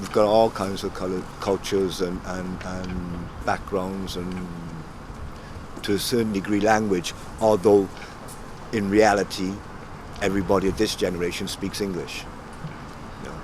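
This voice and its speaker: A man's very deep, low voice, flat and monotone, at a moderate pace with long, frequent pauses, over noticeable background noise. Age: 60s. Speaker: former local resident. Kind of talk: documentary interview. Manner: halting.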